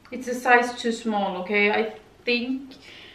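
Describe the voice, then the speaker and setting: A woman speaks at a fairly slow pace with audible room echo. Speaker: vlogger. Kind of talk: casual vlog chat. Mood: mildly critical, relaxed. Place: home room. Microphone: camera far.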